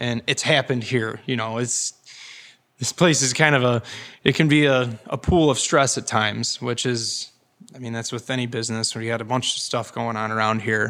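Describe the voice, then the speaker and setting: This is an ordinary speaking voice, a man with an American accent at a medium pitch. He talks at a moderate pace with fairly even intonation. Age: 20s. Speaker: farmer. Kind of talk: interview. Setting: on location at a winery.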